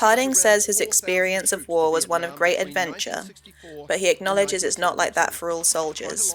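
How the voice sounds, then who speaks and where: With a normal speaking voice, a woman talks at a moderate pace and medium pitch with ordinary pitch variation. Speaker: news narrator. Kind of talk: news voiceover.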